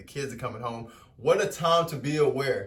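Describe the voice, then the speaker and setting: Amid audible room echo, a man speaks in an animated tone that is somewhat breathy. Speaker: spiritual vlogger. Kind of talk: motivational talk. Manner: fast.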